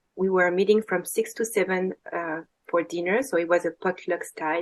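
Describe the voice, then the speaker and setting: In a French accent, a woman with a fairly low pitch talks at a moderate pace with fairly even intonation. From France. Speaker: women's circle facilitator. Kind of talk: casual chat. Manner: halting.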